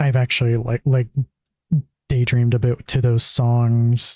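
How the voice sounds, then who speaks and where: A man's medium-pitched, dark, mellow voice in a monotone, flat delivery, with a dry, close sound and no echo. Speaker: streamer. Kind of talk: casual chat. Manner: hesitant, lots of fillers.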